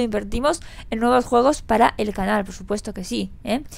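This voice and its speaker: The voice has noticeable vocal fry. It moves at a fairly quick pace. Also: woman. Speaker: gaming youtuber. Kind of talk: vlog. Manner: animated.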